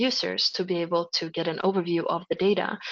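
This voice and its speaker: A speaker with a Swedish accent talks at a fairly quick pace with ordinary pitch variation. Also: woman. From Sweden, Gothenburg. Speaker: project presenter. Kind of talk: webinar software demo. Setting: online webinar. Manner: hesitant with fillers.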